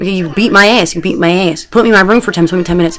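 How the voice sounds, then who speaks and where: Very fast speech with lively intonation over noticeable background noise. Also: woman. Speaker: video blogger. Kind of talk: personal video diary. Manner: animated.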